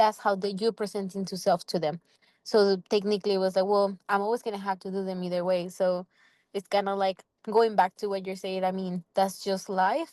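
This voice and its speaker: A woman with a strong non-native accent talks at a fairly quick pace in a flat monotone. Her medium-pitched, dark and mellow voice sounds dry and close with no echo against a quiet background. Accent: non-native English accent, still thick. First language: not English. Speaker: student fellow. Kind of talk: casual workshop discussion.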